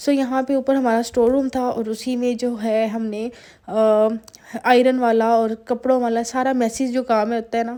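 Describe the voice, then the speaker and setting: A woman speaks at a fairly slow pace in a high, flat, monotone voice. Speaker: lifestyle vlogger. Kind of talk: vlog voiceover. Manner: conversational, many fillers.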